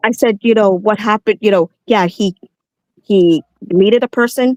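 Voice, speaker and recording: A woman talks at a moderate pace with a fairly high pitch, ordinary pitch variation and very even loudness, in a dry, close sound with no echo. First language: not English. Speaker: caller. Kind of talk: heated debate.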